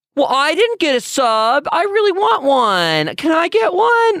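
In a put-on character voice, the speaker uses a whiny, high-pitched, whiny tone with very wide pitch swings at a fairly slow pace. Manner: whiny, begging.

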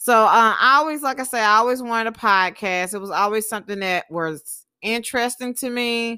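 Bright and sharp in tone, a woman with a fairly high pitch and lively intonation is heard on a very clean recording with a silent background. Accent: Southern US. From US South, Alabama and Texas. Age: 20s. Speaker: podcast host and small business owner. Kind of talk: solo monologue podcast. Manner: casual, many filler words.

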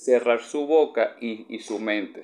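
A man talks very slowly, with ordinary variation in his pitch. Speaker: podcaster and university student. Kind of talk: casual monologue podcast.

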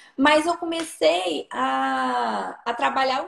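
A woman speaks at a high pitch with lively intonation. Noticeable background noise runs underneath. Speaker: nutritionist. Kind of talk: casual chat.

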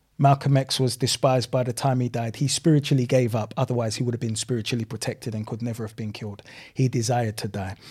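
A man speaks at a very fast pace in a medium pitch, his dark, mellow tone somewhat breathy, with fairly even intonation, hardly any pauses, and a very clean recording over a silent background. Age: 40s. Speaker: community advocate and businessman. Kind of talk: podcast interview.

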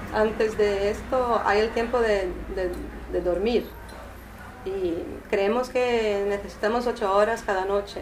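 A woman speaks at a fairly slow pace with a Portuguese accent. The recording has audible room echo and noticeable background noise. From Brazil, São Paulo. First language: Portuguese (speaking Spanish). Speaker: artist. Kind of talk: informal talk to a small group. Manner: hesitant, many fillers.

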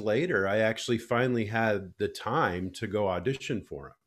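On a very clean recording with a silent background, a man with an Upper Midwest accent speaks at a moderate pace with a medium pitch and lively intonation. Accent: Upper Midwest (Minnesota). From Minnesota, Alexandria. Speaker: choral conductor and composer. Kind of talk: casual interview chat.

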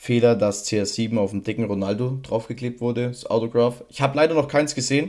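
Fairly even intonation marks a man's medium-pitched voice. He speaks at a moderate pace. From Bavaria, Regensburg. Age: 20s. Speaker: podcast co-host, trading card collector. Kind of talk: casual chat.

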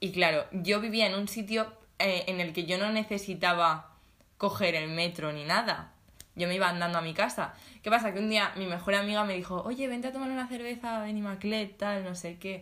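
Audible room echo surrounds a woman's bright, sharp voice as she speaks at a moderate pace with ordinary pitch variation. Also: medium pitch for a woman. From Spain, Alicante province (small town). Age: 20s. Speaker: podcast co-host, design student. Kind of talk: casual chat.

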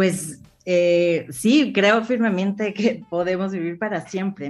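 An ordinary speaking voice. A woman speaks at a fairly slow pace with ordinary pitch variation. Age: 50s. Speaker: business executive. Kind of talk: interview. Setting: live streamed studio show.

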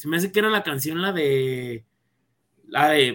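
A man talks at a moderate pace. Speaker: football podcast co-host. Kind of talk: casual sports chat.

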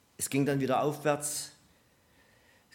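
A man's voice is heard. The room echo around it is audible. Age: 60s. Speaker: preacher. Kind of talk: sermon. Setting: church service with congregation.

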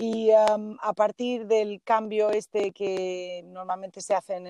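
Recorded with a dry, close sound and no echo, a woman talks at a medium pitch in a dark, mellow tone. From Galicia, northern Lugo. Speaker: Spanish language teacher. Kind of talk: interview.

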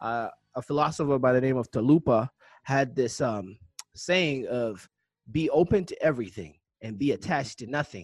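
A man has an ordinary speaking voice of medium pitch with lively intonation, recorded in a dry, close sound with no echo. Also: moderate pace. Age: 30s. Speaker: podcast host. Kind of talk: casual interview.

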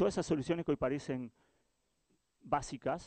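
Talking at a fairly quick pace, a man has a normal speaking voice with ordinary pitch variation. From Uruguay. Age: 40s. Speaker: innovation director, agency founder. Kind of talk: talk to live audience. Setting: stage with audience.

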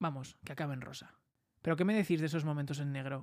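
A man speaks at a fairly high pitch with ordinary pitch variation. The sound is dry and close with no echo, on a very clean recording with a silent background. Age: 20s. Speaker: podcaster and content creator. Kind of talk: solo monologue podcast.

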